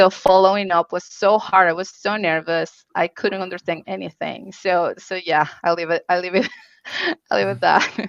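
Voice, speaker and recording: Here a woman speaks at a medium pitch in a Spanish accent, with ordinary pitch variation. The sound is dry and close with no echo. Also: moderate pace. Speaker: UX researcher. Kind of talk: conference Q&A panel. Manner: halting.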